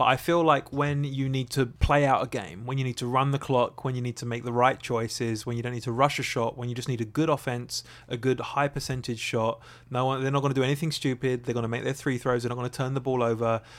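A man with an Essex accent at a very fast pace, medium-pitched and with hardly any pauses, on a very clean recording with a silent background. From England, Essex. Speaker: podcast co-host. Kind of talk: casual chat. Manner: animated.

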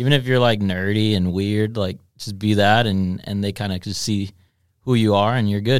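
A man talks at a moderate pace in an ordinary speaking voice, his pitch fairly low. The intonation is fairly even, and the recording is very clean with a silent background. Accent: American. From Texas (Dallas). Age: 20s. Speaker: DJ. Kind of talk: casual chat. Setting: studio.

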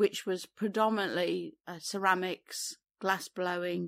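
With an East Midlands accent, a woman speaks at a fairly slow pace in a fairly low pitch, on a very clean recording with a silent background and a dry, close sound with no echo. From England, Derbyshire. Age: 60s. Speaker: artist and former entrepreneur. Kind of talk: interview. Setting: on location in a barn.

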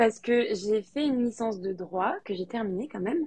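Her voice is fairly high and somewhat breathy, with ordinary pitch variation. The woman keeps a moderate pace. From France, Lyon. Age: 20s. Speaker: novelist. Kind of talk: interview.

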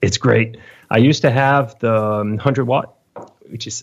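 Medium in pitch with ordinary pitch variation, a man speaks with a French accent. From France, Lyon. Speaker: metal guitarist. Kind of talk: interview. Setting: home studio. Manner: halting.

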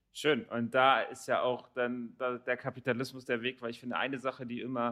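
A man speaks at medium pitch with a bright, sharp tone. His intonation is monotone and flat. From Germany, Rothenburg area. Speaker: podcast host. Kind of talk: interview.

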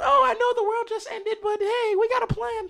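This is a put-on character voice at an extremely high pitch. It moves along at a fairly quick pace. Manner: cartoonish, chipper.

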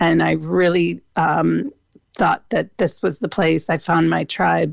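A woman with a Midwestern accent, heard in a dry, close sound with no echo. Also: quiet background. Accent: American Midwest. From US Midwest, Cleveland, Ohio. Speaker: food truck owner. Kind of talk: radio interview.

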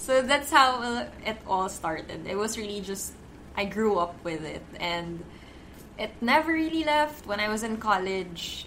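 Very wide pitch swings at a fairly slow pace, with audible room echo and noticeable background noise. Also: woman, fairly high pitch for a woman. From Philippines. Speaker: beauty blogger and editor. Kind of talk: casual chat.

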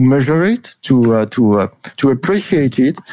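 With a French accent, a man speaks in a dark, mellow tone at a moderate pace with lively intonation. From France. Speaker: rugby league columnist. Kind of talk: interview. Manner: halting.

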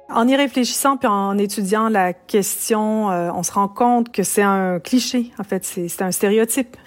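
With music playing in the background, a woman speaks at a fairly slow pace and a fairly high pitch, her pitch varying in an ordinary way and hardly any pauses. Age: 50s. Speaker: professor of feminist studies. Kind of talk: interview.

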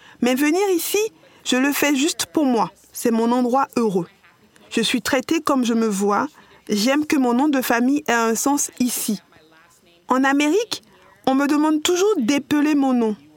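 Lively intonation from a woman with a high pitch, broken by long, frequent pauses. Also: fairly slow pace, very even loudness, dry, close sound with no echo. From New York, US. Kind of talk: podcast interview.

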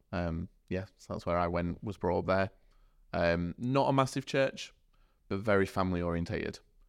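With a Yorkshire accent, a man speaks at a moderate pace in a very deep, low pitch with ordinary pitch variation, captured on a very clean recording with a silent background. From Sheffield, South Yorkshire. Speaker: church youth worker. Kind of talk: podcast interview. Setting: studio.

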